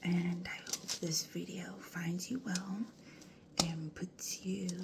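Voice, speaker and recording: Noticeable background noise behind very slow talking. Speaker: ASMR creator. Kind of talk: ASMR video. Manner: soft-spoken.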